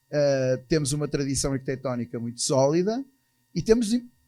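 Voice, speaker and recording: A man in a European Portuguese accent, fairly quick in pace and lively in intonation. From Portugal. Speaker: architects' association president. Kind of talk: conference talk. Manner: hesitant, with fillers.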